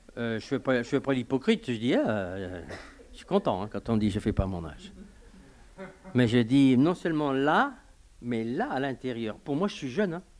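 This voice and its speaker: At a fairly slow pace, a man speaks with very wide pitch swings and big swings in loudness. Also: medium pitch for a man. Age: 70s. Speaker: pastor. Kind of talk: sermon. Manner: halting.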